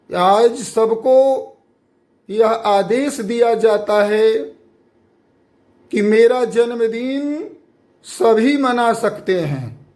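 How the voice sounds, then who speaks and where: A man with an extremely high pitch speaks at a very slow pace, leaving long, frequent pauses. His pitch varies in an ordinary way, and the room echoes audibly. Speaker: guru. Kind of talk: sermon.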